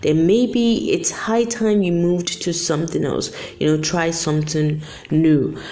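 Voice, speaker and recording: In a room with audible echo, a woman with a very deep, low pitch speaks at a fairly slow pace using lively intonation. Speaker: podcast host. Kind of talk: solo motivational talk. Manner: casual, filler-heavy.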